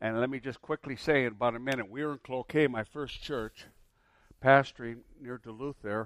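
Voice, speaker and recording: In a plain, everyday voice, a man of medium pitch speaks at a moderate pace with fairly even intonation, recorded dry and close with no echo. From US Midwest. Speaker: traveling preacher and seminar teacher. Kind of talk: sermon. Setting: church.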